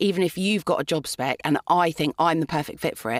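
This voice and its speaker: Here is an unremarkable speaking voice from a woman, fairly low in pitch. Her pitch variation is ordinary, and the sound is dry and close with no echo. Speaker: voice actor. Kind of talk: interview answer.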